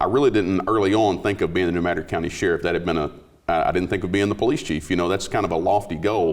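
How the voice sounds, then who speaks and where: A man talks at a very fast pace in a Southern Midland US accent. His very deep, low voice shows ordinary pitch variation. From US Midwest, southeast Missouri. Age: 40s. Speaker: police chief, sheriff candidate. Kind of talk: interview.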